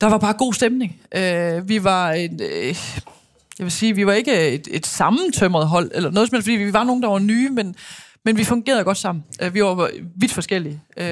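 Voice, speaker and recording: An ordinary speaking voice from a woman, medium in pitch with ordinary pitch variation, at a moderate pace on a very clean recording with a silent background. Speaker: former handball player and TV pundit. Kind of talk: casual interview.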